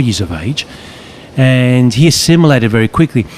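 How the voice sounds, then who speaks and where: A man at a moderate pace with lively intonation over noticeable background noise. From western Sydney, Australia. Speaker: psychologist and author. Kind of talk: casual conversation. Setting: outdoors, walking on a beach.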